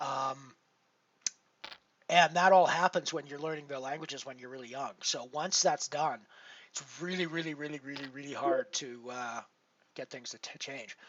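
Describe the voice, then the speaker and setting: A man with a Canadian accent speaks at a moderate pace, his pitch fairly high and its variation ordinary. His loudness swings widely, and he leaves long, frequent pauses. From Canada. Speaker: poker streamer. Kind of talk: casual live-stream chat. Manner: halting, many fillers.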